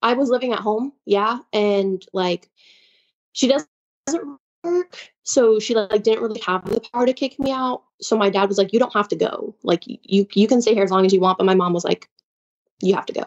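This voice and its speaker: With a plain, everyday voice, a woman talks fairly high in pitch, her pitch varying in an ordinary way as she keeps a moderate pace. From Chicago. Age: 20s. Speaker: caller. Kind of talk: personal story on a call-in show.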